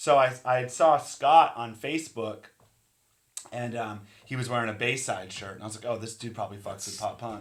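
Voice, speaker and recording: At a moderate pace and medium pitch, a man speaks with ordinary pitch variation and big swings in loudness. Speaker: podcast co-host and musician. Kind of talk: casual chat.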